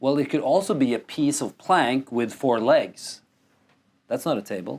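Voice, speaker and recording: A man's fairly high-pitched voice in a very clean recording with a silent background. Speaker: men's work facilitator. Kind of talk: podcast interview. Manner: loud.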